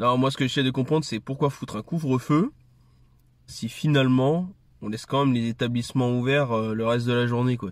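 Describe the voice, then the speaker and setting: A man speaks with fairly even intonation. The background is quiet and the sound is dry with no echo. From France. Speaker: video creator and commentator. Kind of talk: angry rant about curfew; casual monologue to camera. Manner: sarcastic, indignant, fast and heated. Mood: annoyed, critical. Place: car. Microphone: phone near.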